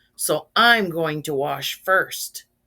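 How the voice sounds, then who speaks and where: Doing a put-on character voice, a woman sounds raspy and rumbling at a very deep, low pitch. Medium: read story. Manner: gruff, grumbling.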